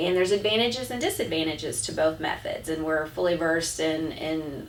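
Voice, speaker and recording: This woman has an ordinary speaking voice, fairly low in pitch, with lively intonation at a moderate pace. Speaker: auctioneer, realtor and company president. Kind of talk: casual talk to camera, business update.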